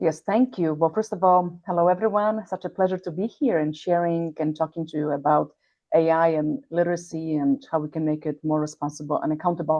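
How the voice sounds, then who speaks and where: At a fairly quick pace, the speaker talks with a Polish accent and ordinary pitch variation. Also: woman, fairly low pitch for a woman. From Poland. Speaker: healthcare executive. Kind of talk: interview. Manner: halting, with many fillers.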